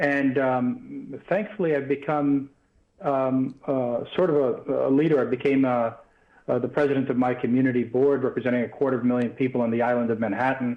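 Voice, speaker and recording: A man with an American accent speaks at medium pitch with fairly even intonation. His loudness stays very even. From New York, US. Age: 50s. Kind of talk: live TV interview. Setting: remote link from New York.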